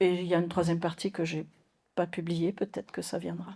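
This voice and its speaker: A woman at medium pitch in a very clean recording with a silent background. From Mauritius. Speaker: nun and theologian. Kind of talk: lecture. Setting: conference hall with audience. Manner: hesitant, many fillers.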